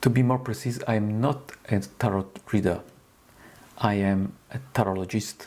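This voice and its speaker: Pausing long and often, a man with an Italian accent talks at a moderate pace and a fairly low pitch. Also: ordinary pitch variation. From Italy. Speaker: tarot reader. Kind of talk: tutorial. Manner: halting.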